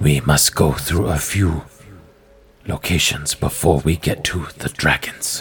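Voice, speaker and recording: Doing a put-on character voice, a man speaks fairly slowly at a very deep, low pitch. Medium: actual play. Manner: terse, formal, flat and emotionless; dramatic pauses.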